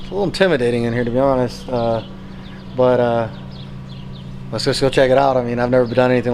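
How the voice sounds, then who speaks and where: A man with an American accent at a medium pitch and fairly quick pace, with fairly even intonation and noticeable background noise. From US West Coast. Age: 30s. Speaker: army veteran and motivational speaker. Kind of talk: casual chat; motivational talk. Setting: jail.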